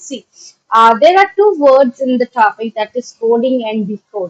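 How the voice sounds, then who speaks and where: With an Indian accent, a woman talks at a high pitch with very wide pitch swings, recorded with a dry, close sound and no echo. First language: Maithili. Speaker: online teacher. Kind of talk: lecture. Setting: live stream. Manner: halting, many fillers.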